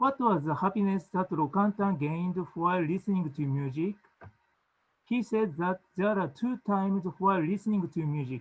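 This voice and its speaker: A man with a Japanese accent speaks in a high voice at a moderate pace, with ordinary pitch variation. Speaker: music education academic. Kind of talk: conference presentation. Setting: video call.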